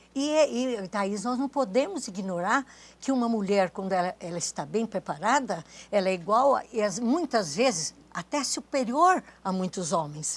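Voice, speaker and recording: This is a very clean recording with a silent background. A woman speaks with very wide pitch swings. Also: medium pitch for a woman, moderate pace. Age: 80s+. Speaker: retired culture official and writer. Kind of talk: TV interview. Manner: halting, many restarts.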